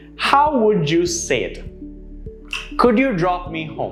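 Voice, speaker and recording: A man speaking fairly slowly over music in the background. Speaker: English pronunciation coach. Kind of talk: educational lesson to camera.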